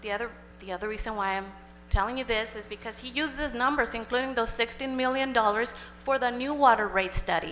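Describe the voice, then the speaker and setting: Over music in the background, a woman with a Spanish accent talks at a very fast pace in a fairly high voice with ordinary pitch variation. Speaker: public commenter at city council meeting. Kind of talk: public comment. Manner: code-switching Spanish and English.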